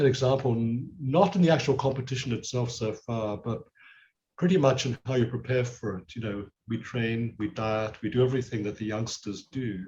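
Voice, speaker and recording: A somewhat breathy male voice at medium pitch, with ordinary pitch variation and a moderate pace. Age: 70s. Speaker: karate master. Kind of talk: interview.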